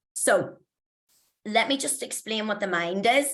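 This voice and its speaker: The voice belongs to a woman with a Belfast accent. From Northern Ireland, Belfast. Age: 40s. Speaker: mindset coach. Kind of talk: motivational talk. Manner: casual, chatty.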